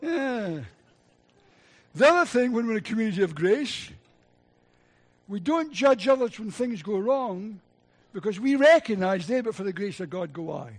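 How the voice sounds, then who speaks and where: A man with a Scottish accent speaks at a moderate pace in a high pitch, with very wide pitch swings, big swings in loudness, and long, frequent pauses against a quiet background. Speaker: preacher. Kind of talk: sermon. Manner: animated.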